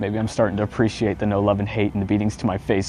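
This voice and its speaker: With music playing behind him, a man speaks very fast in an intense tone, his fairly low voice holding a fairly even intonation. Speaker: spoken word poet. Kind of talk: spoken word poetry performance. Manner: emotional, intense.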